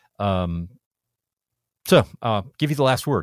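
A man with a normal speaking voice and fairly low pitch talks at a moderate pace in a dry, close sound with no echo, on a very clean recording with a silent background. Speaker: podcast host. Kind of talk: casual technical interview. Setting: studio.

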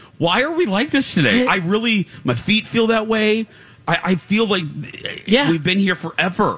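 A man's high voice at a moderate pace with very even loudness. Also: lively intonation. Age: 40s. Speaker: radio host. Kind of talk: casual chat. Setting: live broadcast from a state fair booth.

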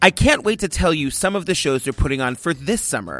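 With music in the background, a man speaks in an animated tone, his pitch making very wide swings. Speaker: podcast host. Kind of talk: scripted ad read; casual interview. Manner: fast.

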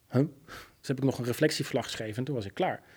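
A man's medium-pitched voice, dark, mellow tone and slightly husky edge

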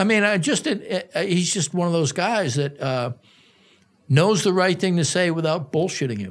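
With an American accent, a man speaks at a moderate pace in a high pitch, his intonation lively. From US Northeast, Boston. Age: 60s. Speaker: sports journalist. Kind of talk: casual interview chat.

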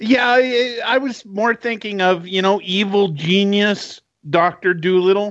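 Very slowly, a man with a Canadian accent speaks in a high voice with ordinary pitch variation. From Canada. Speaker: podcast co-host. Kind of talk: casual chat.

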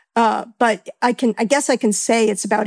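With a normal speaking voice, a woman talks at a moderate pace and fairly high pitch, ordinary pitch variation and a dry, close sound with no echo. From New York. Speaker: actor and sound editor. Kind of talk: casual interview.

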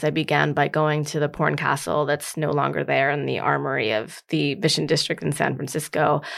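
A woman speaks in a very deep, low voice with vocal fry. Her intonation is lively, and her pace is moderate. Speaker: author. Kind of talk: interview conversation about her book.

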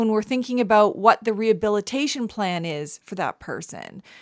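In a Canadian accent, a woman speaks at a fairly high pitch with lively intonation and an animated tone, on a very clean recording with a silent background and a dry, close sound with no echo. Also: hardly any pauses, big swings in loudness. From Canada. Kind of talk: interview.

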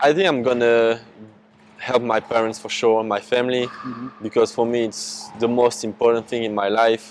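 This man speaks at a medium pitch and moderate pace in a French accent. His intonation is fairly even, with noticeable background noise behind him. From France. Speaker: basketball prospect. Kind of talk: casual interview. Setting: in person.

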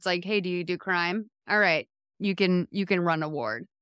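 On a very clean recording with a silent background and a dry, close sound with no echo, a woman with an American accent and a plain, everyday voice talks at a medium pitch and moderate pace with ordinary pitch variation. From Massachusetts, US. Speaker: TV writer and podcast host. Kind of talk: casual chat.

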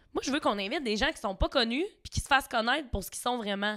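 In a Quebec accent, a woman talks in an animated, high-pitched voice with lively intonation, recorded very cleanly against a silent background. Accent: Québécois French. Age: 20s. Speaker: reality TV contestant. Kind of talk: casual chat.

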